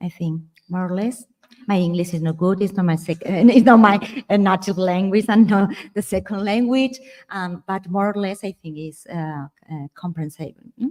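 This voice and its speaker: This woman speaks with a Spanish accent at a moderate pace and medium pitch. Her pitch varies in an ordinary way, while her loudness swings widely. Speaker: architectural historian. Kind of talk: symposium discussion. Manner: halting, many fillers.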